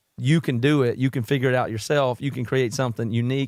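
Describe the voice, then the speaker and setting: Someone with a Southern US accent speaks very fast with ordinary pitch variation, in a very clean, dry, close recording with a silent background and no echo. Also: man. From South Carolina, US South. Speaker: podcast host and musician. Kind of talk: podcast interview.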